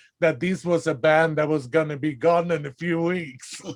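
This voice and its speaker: This man has a Swedish accent. His pace is moderate. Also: very clean recording, silent background. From Sweden. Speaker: interviewer. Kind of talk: interview.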